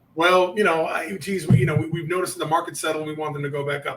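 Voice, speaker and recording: A man with fairly high pitch talks at a very fast pace with fairly even intonation over noticeable background noise. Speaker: sales coach. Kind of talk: interview.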